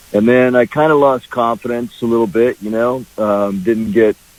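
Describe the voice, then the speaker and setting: Against noticeable background noise, a man talks at a moderate pace with fairly even intonation, in a dry, close sound with no echo. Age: 60s. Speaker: singer-songwriter. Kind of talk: radio interview. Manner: halting, many fillers.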